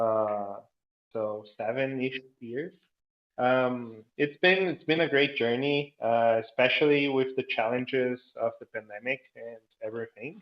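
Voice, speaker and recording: The speech has a Portuguese accent and a fairly slow pace. Pitch variation is ordinary. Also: man, medium pitch for a man. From Brazil. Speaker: entrepreneur and gamification trainer. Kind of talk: interview.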